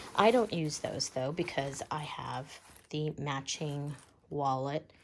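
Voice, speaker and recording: A woman's very deep, low voice at a very slow pace, fairly even in intonation, on a very clean recording with a silent background. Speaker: bag reviewer vlogger. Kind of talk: product review. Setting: at home. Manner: quiet, talking low; casual, many fillers.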